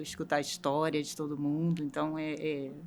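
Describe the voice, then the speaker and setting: A woman's very deep, low voice at a moderate pace. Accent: Rio de Janeiro. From Rio de Janeiro, Brazil. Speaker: logistics manager. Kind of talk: interview.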